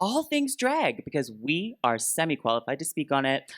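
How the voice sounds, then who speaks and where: A fairly quick pace, recorded very cleanly over a silent background. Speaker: drag queen podcast co-host. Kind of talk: live podcast before audience. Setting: live stage with audience at fan expo. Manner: amped, energetic.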